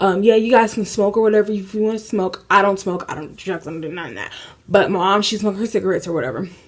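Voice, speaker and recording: Over noticeable background noise, a woman with an American accent speaks very fast at a medium pitch with fairly even intonation. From Indiana, USA. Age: 20s. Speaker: lifestyle YouTuber. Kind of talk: casual story time to camera. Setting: apartment, AC noise in background.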